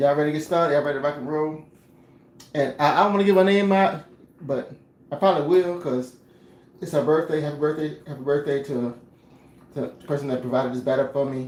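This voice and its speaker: Speaking at a very fast pace, a man uses ordinary pitch variation and leaves long, frequent pauses. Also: fairly high pitch for a man. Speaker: home cook. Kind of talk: casual cooking livestream. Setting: home kitchen. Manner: repetitive, stammering.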